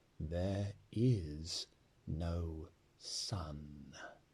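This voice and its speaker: The voice is a put-on character voice. It is soft-spoken. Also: man, very deep, low pitch for a man. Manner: soft, slow, grave.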